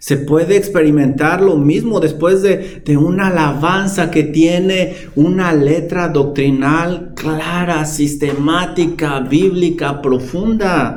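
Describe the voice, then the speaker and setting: Over noticeable background noise, a man talks at a very slow pace in a high pitch, his intonation fairly even and his loudness very even. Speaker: pastor. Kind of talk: sermon. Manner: calm, not shouting.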